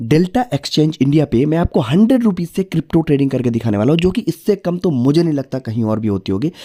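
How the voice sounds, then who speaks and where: A dark, mellow tone with very wide pitch swings, a moderate pace and hardly any pauses. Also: man, fairly high pitch for a man. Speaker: crypto trading youtuber. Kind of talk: tutorial. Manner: casual, conversational.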